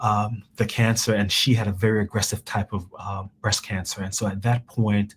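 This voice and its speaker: Fairly low and somewhat breathy, a man's voice moves at a moderate pace with hardly any pauses. His intonation is monotone and flat. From Jamaica. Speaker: cancer researcher. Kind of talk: interview. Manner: halting, many repetitions.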